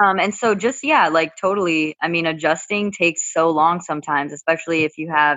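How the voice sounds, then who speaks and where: Speaking at a fairly quick pace, a woman with an ordinary speaking voice keeps a fairly low pitch and fairly even intonation. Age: 20s. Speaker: college student. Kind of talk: casual chat.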